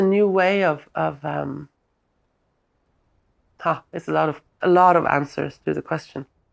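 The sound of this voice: A woman's slow speech with vocal fry and fairly even intonation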